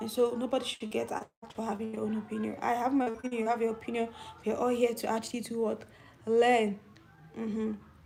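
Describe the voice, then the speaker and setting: Noticeable background noise sits behind a woman who speaks very fast at a fairly high pitch in a monotone, flat intonation. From Nigeria. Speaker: YouTube commentator. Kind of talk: live stream chat.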